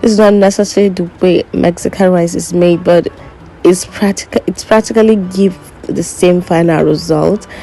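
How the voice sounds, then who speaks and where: A woman with a non-native accent, flat monotone intonation, and music in the background. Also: medium pitch for a woman, moderate pace. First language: not English. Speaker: cooking vlogger. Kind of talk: cooking tutorial voiceover.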